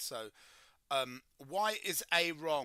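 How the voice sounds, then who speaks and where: A man with a British accent speaks at a fairly high pitch. His tone is bright and sharp. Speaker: chemistry tutor. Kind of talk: livestream tutorial. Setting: livestream.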